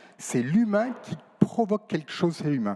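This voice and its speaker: There is noticeable background noise behind this man. His intonation is lively. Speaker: nephrologist, panel speaker. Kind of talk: round table debate. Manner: fast.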